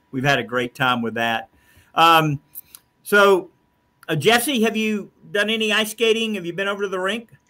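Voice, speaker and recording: A man projects a raised, high voice with a bright, sharp tone and very wide pitch swings. He keeps a moderate pace, broken by long, frequent pauses. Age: 60s. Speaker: talk show host and state commissioner. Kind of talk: casual interview chat. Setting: office.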